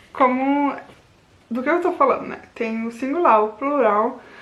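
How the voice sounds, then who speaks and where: A woman talks fairly slowly in a room with audible echo. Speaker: language learning youtuber. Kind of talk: casual vlog tutorial. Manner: informal, with false starts.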